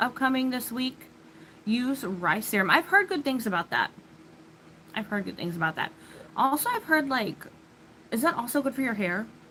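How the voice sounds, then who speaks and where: A woman with an American accent and a high pitch, very wide pitch swings, a moderate pace and long, frequent pauses over noticeable background noise. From US Midwest, Illinois. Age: 30s. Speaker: livestreamer. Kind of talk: casual chat.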